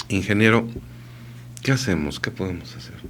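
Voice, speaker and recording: Vocal fry and lively intonation mark this man's speech, heard with audible room echo. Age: 50s. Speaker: radio host. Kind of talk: casual chat.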